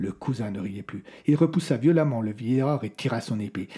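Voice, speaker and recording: In a dark, mellow, somewhat breathy tone, a man talks at a medium pitch with lively intonation. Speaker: storyteller narrator of audio fiction. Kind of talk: scripted dramatic narration of a medieval horror tale. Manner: changes tone to voice the characters: the old troubadour's prophecy, then the lord's rage.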